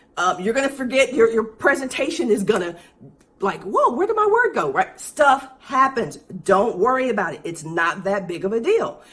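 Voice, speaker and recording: A woman speaks in an animated tone at a fairly high pitch, with very wide pitch swings. Noticeable background noise sits behind her. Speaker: business coach for speakers and consultants. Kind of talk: livestream tutorial. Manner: fast.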